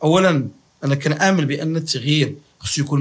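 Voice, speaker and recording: The man's pitch is fairly high as he talks at a moderate pace. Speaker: university professor of political science. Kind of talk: interview. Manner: halting, with repetitions.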